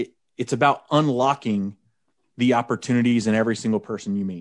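Against a quiet background, a man with an American accent talks at a fairly quick pace and medium pitch. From Oklahoma. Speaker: wedding DJ and business coach. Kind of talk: casual interview. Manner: animated.

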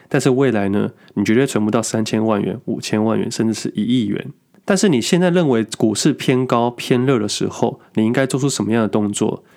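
A plain, everyday voice from a man at medium pitch, fairly quick pace with ordinary pitch variation, on a very clean recording with a silent background. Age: 30s. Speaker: podcast host, full-time stock trader. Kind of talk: casual monologue on investing.

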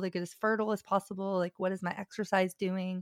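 A plain, everyday voice with fairly even intonation. The recording is very clean, with a silent background and a dry, close sound that has no echo. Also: woman. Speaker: women's health coach. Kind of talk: interview.

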